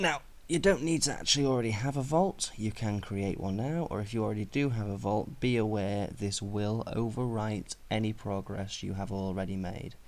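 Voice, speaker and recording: His fairly low voice shows ordinary pitch variation as the man speaks. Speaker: gaming tutorial narrator. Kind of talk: unscripted screen-recording tutorial narration. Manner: casual, conversational.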